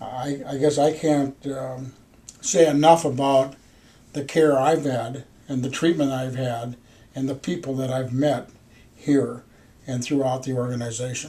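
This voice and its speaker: A man's dark, mellow, somewhat breathy voice at medium pitch, flat and monotone, with an Upper Midwest accent, a fairly slow pace and long, frequent pauses. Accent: Upper Midwest American. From US Midwest, Minneapolis, Minnesota. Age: 60s. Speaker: patient. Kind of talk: patient testimonial interview. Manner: halting, with fillers.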